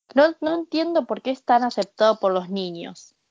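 A woman speaks at a fairly slow pace with an Argentine accent. Her intonation is lively. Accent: native-sounding Argentine Spanish. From Argentina. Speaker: podcast guest. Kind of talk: casual chat.

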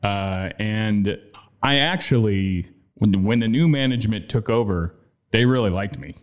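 With an American accent, a man has a plain, everyday voice, a fairly low pitch, ordinary pitch variation and a moderate pace. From Austin, Texas. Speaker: former radio host. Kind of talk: casual chat. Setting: studio.

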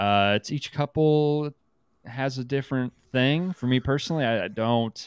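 A man's ordinary speaking voice, medium in pitch, at a moderate pace, dry and close with no echo. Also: ordinary pitch variation. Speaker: podcast host. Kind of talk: casual comedic banter.

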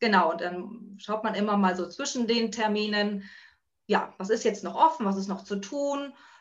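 The speech has ordinary pitch variation and long, frequent pauses. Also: woman. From northern Germany (Buxtehude, near Hamburg). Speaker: working mother, office worker. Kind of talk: casual interview. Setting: video call. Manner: hesitant, many filler sounds.

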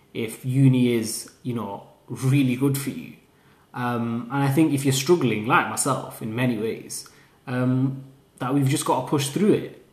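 Speaking at a fairly slow pace in a Lancashire accent, a man with a medium pitch and a somewhat breathy voice keeps a fairly even intonation against audible room echo. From northern England, Lancashire (Haslingden). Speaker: university student podcaster. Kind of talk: casual solo monologue.

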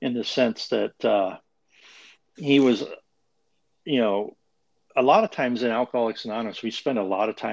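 A man with an American accent has a plain, everyday voice at a medium pitch with ordinary variation. He speaks at a moderate pace in a dry, close sound with no echo. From Montana (small town). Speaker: AA sponsor, recovering alcoholic. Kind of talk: casual interview about recovery.

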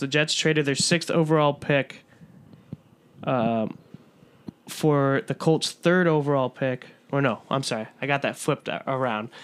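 A man with a plain, everyday voice speaks with an American accent. His pitch is fairly high, with ordinary pitch variation. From US Midwest, Chicago suburbs (DuPage County). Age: 20s. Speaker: podcast co-host, broadcast journalism graduate. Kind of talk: casual chat.

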